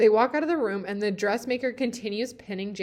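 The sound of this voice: The speaker reads in an unforced reading voice.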